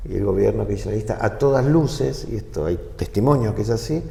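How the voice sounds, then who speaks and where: At a moderate pace and medium pitch, a man speaks with ordinary pitch variation in audible room echo. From Argentina. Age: 60s. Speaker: former government official. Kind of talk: interview. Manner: halting.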